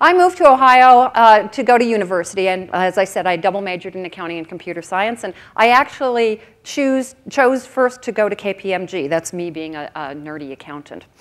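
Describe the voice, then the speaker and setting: A woman with an American accent, fairly quick and lively in intonation, with hardly any pauses. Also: medium pitch for a woman, big swings in loudness. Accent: American accent noticeable in Australia. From US Midwest (Oconomowoc, Wisconsin). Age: 50s. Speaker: keynote speaker, career consultant. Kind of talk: conference keynote. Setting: stage with audience. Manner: animated.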